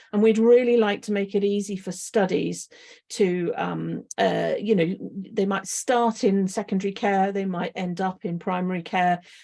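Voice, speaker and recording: The voice has a dark, mellow tone and fairly even intonation. It moves at a moderate pace. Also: woman, medium pitch for a woman, quiet background. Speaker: clinical research lead. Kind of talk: presentation with slides. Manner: halting, many fillers.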